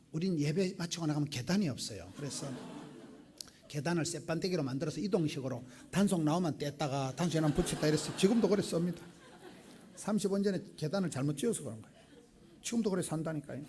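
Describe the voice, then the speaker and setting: This man talks very fast in a fairly high pitch with ordinary pitch variation, leaving long, frequent pauses, and audible room echo surrounds him. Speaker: pastor. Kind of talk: sermon. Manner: animated.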